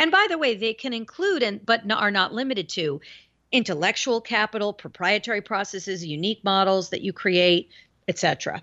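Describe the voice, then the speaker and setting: Using a normal speaking voice, a woman speaks at a medium pitch and moderate pace with lively intonation. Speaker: author and marketing consultant. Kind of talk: casual interview chat. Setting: phone call.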